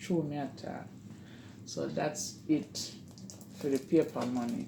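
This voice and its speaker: The speaker talks at a very slow pace in a Jamaican accent. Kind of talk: casual talk to camera.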